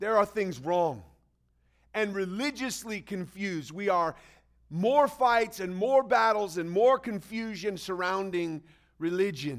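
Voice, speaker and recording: A high-pitched man with lively intonation at a fairly slow pace. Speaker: pastor. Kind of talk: sermon. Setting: church. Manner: preacherly, call-and-response, animated.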